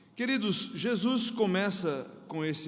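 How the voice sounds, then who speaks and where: With audible room echo around him, a man talks with lively intonation. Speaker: pastor. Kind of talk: sermon. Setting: church.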